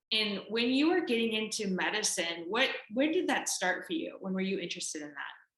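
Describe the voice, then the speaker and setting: In an American accent, the speaker talks at a fairly quick pace with very wide pitch swings, and audible room echo surrounds the voice. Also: woman, fairly high pitch for a woman. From Chicago. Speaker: interview host. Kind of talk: casual chat. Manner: animated.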